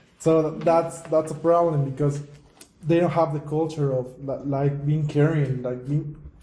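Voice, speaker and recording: Against noticeable background noise and audible room echo, a man talks at a fairly slow pace. His pitch is fairly high, and his intonation is monotone and flat. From Mexico. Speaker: podcast host. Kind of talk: casual chat.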